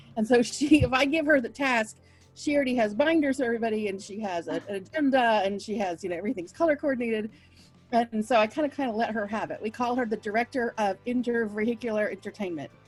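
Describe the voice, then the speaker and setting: Music plays in the background as a woman speaks at a very fast pace. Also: ordinary pitch variation. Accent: American. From Oklahoma. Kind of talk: interview answer. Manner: casual, chatty.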